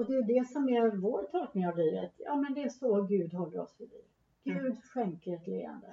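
At a moderate pace, a woman with a fairly high pitch speaks with lively intonation, a somewhat breathy quality and big swings in loudness. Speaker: theologian and church official. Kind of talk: casual theological conversation. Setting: Uppsala, recorded in person. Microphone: poor sound quality, hard to hear.

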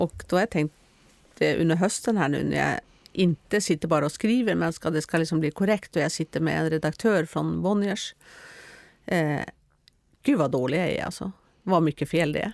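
In a Norwegian accent, a woman speaks at a moderate pace in a very deep, low pitch with vocal fry, ordinary pitch variation and long, frequent pauses, on a very clean recording with a silent background and a dry, close sound with no echo. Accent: Norwegian-accented Swedish. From Norway. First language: Norwegian (speaking Swedish). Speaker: author. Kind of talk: interview.

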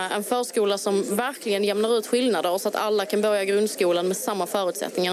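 A woman speaks at a very fast pace with hardly any pauses, at medium pitch and with fairly even intonation. Her loudness stays very even, with noticeable background noise behind her. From Malmö, southern Sweden. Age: 30s. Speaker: local politician. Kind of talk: interview. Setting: outdoor election booth on a town square.

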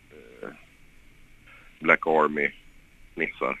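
A man's bright, sharp tone comes through in a dry, close sound with no echo. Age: 30s. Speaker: former professional footballer. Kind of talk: interview. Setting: phone call. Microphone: poor phone line sound.

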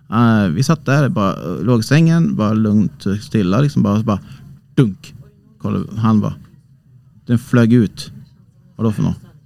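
A man's fairly low, dark and mellow voice with lively intonation, a moderate pace, and long, frequent pauses. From Sweden, Hälsingland (Bollnäs). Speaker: amateur ghost investigator. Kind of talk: casual interview. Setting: small cabin on a cruise ship.

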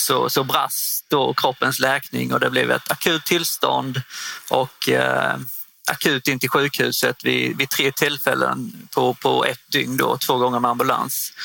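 A man at a very slow pace, his loudness very even, with noticeable background noise. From northern Skåne, Sweden (Osby). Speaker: property management consultant, former footballer. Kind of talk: interview. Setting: studio booth at a trade fair. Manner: halting, many fillers.

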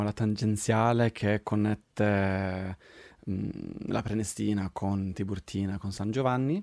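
A man's fairly low voice with a Swedish accent at a very slow pace, dry and close with no echo, on a very clean recording with a silent background. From Sweden. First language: Swedish (speaking Italian). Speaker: podcast host. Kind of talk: casual chat. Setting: home recording studio.

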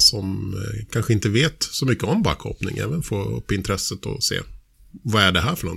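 The speaker talks at a fairly quick pace with vocal fry. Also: man. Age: 40s. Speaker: podcast host. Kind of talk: casual chat.

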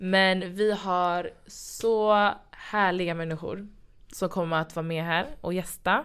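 Very slow speech from a woman at medium pitch, fairly even in intonation, on a very clean recording with a silent background. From Sweden. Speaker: podcast host. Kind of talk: casual chat.

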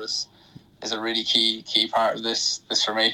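A man with a Wexford Irish accent and a medium-pitched voice, over noticeable background noise. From Ireland, County Wexford. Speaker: professional athlete. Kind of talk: radio interview. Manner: halting, many fillers.

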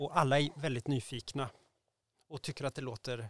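With vocal fry at medium pitch, a man speaks in fairly even intonation, the sound dry and close with no echo. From Sweden, Värmland (Degerfors). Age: 40s. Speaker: prospective parent via surrogacy. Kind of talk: interview.

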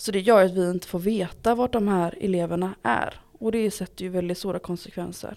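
A woman speaks at a medium pitch and fairly quick pace, with hardly any pauses. Her intonation is fairly even. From Gothenburg, Sweden. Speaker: local politician, education committee. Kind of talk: interview.

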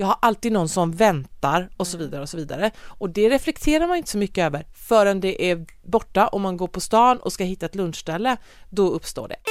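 With hardly any pauses, a woman in a normal speaking voice talks at a fairly quick pace and medium pitch, her intonation lively, in a very clean recording with a silent background. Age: 40s. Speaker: podcast host. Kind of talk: casual chat.

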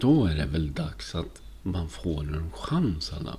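A man speaks with very wide pitch swings. Vocal fry runs through his voice. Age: 50s. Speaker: podcaster. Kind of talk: personal monologue podcast. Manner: halting, frequent word repetitions; animated.

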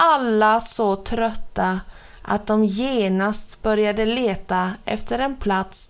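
This is plain reading aloud. The pitch variation is ordinary.

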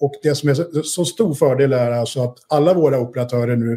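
This man's voice has a dark, mellow tone and is somewhat breathy. He speaks at a moderate pace with fairly even intonation. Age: 50s. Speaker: investor, entrepreneur. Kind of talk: interview.

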